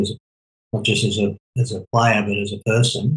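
The man's voice sits at a fairly low pitch and has a husky, rough edge.

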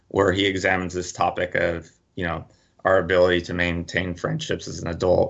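A man with a very deep, low voice at a fairly quick pace. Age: 40s. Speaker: psychologist and author. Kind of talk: radio interview.

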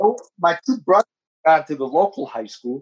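This is a man speaking. He has a New Jersey accent. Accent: New Jersey American. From Newark, New Jersey (Ironbound). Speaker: community organization board member. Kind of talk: interview.

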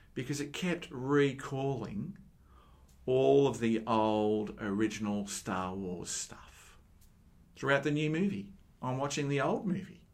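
In an ordinary speaking voice, a man talks at a fairly slow pace. His pitch is medium and his intonation lively. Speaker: Anglican preacher. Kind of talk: sermon. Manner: earnest, conversational, teaching tone.

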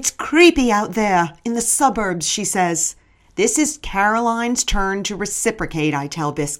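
Lively intonation from an unforced reading voice

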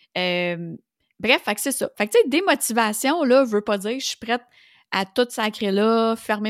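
Dry and close with no echo, a woman's fairly high voice moves at a fairly slow pace with ordinary pitch variation on a very clean recording with a silent background. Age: 40s. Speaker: business coach and podcast host. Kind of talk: solo podcast monologue. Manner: casual, conversational with frequent fillers.

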